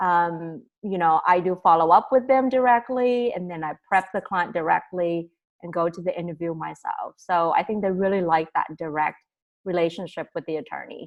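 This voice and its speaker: With an unremarkable speaking voice, a woman of fairly low pitch talks at a moderate pace with ordinary pitch variation and big swings in loudness. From immigrated to the US at age ten. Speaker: immigration lawyer. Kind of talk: interview. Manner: casual, with frequent fillers.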